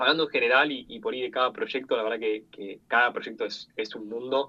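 A man with an unremarkable speaking voice talks at a moderate pace, his medium pitch carried by fairly even intonation. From Argentina. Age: 20s. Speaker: product designer and UX/UI teacher. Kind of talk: interview.

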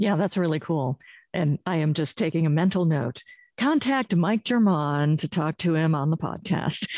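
A woman speaks in a plain, everyday voice, her pitch fairly low, at a moderate pace, with a quiet background and a dry, close sound with no echo. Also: very even loudness. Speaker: podcast host and professor. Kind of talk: interview chat.

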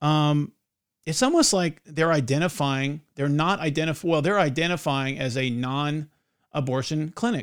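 In a very clean recording with a silent background, a man with a plain, everyday voice speaks at a moderate pace, fairly high in pitch and with ordinary pitch variation. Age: 40s. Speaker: podcast host. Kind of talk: casual chat.

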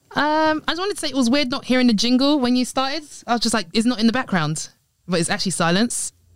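On a very clean recording with a silent background, a woman speaks very fast in a high pitch with very wide pitch swings. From Nigeria. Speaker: guest, friend of hosts. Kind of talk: casual chat.

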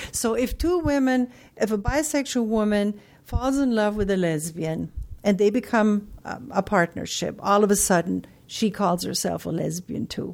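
A woman speaks with a German accent at a medium pitch. Her pace is moderate and her intonation lively. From Germany. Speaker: psychologist and academic journal editor. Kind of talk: interview.

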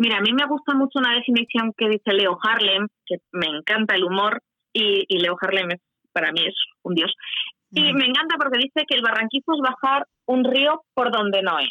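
A woman's normal speaking voice at a moderate pace, fairly high-pitched, with lively intonation and very even loudness. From Huesca, Spain. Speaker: canyoning guide. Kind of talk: radio interview.

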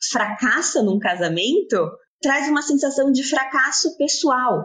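Her pitch is high and swings very widely as this woman speaks at a very slow pace. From Brazil, São Paulo. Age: 30s. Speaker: fashion brand co-founder. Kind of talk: interview.

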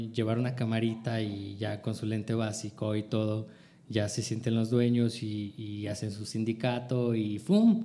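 Dark and mellow in tone, a man speaks with a Mexican accent in a monotone, flat intonation. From northern Mexico. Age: 30s. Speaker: multimedia producer and photographer. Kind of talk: casual chat.

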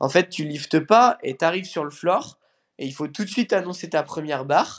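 In a very clean recording with a silent background, a man uses a plain, everyday voice with fairly high pitch and ordinary pitch variation. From France, near Lyon. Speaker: CrossFit athlete. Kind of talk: casual interview.

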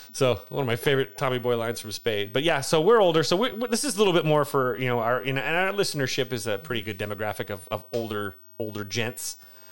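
Speaking very fast with hardly any pauses, a man with an American accent uses lively intonation at a medium pitch, on a very clean recording with a silent background. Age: 40s. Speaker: podcast co-host, teacher. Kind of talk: casual chat.

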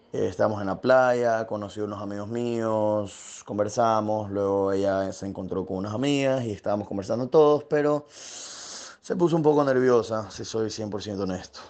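Noticeable background noise accompanies a man with a fairly low voice. He talks at a moderate pace with ordinary pitch variation and hardly any pauses. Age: 20s. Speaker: dating app user interviewee. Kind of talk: personal testimony.

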